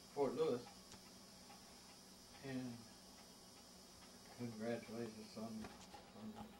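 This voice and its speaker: A man speaks quietly with an American accent at a fairly slow pace, with fairly even intonation and long, frequent pauses. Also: medium pitch for a man. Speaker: war veteran. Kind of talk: interview answer. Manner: quiet, hard to hear.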